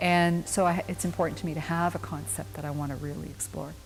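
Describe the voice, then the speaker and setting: Music plays in the background while the voice shows ordinary pitch variation. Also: woman. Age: 60s. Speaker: painter. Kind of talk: interview.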